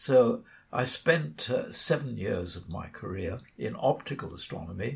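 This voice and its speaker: A man speaks with a British accent. His pace is fairly slow. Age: 80s+. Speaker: radio astronomer and author. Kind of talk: interview.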